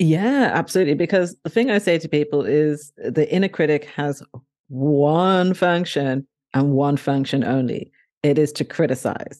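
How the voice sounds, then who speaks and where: Against a quiet background, a woman with a southern English accent speaks in a very deep, low voice with a dark, mellow tone. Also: ordinary pitch variation, moderate pace. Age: 40s. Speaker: author and blogger. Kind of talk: interview conversation.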